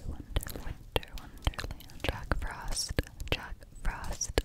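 Whispering, soft-spoken woman, very slow in pace. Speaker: ASMR creator. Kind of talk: ASMR whispered trigger words. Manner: soft close-mic ASMR whisper. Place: home room. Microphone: studio mic.

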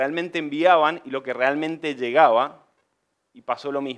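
With a normal speaking voice, a man at a fairly high pitch talks at a moderate pace and with fairly even intonation over a quiet background. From Argentina, Mendoza; Argentina. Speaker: civil engineer and construction business owner; presenter. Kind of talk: conference presentation. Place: meeting room.

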